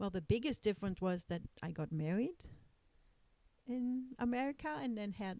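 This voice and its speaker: A woman with a German accent speaks at a moderate pace and medium pitch, her dark, mellow tone carried by lively intonation. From East Germany. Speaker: lawyer, immigrant mother. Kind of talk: family interview. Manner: hesitant, many fillers.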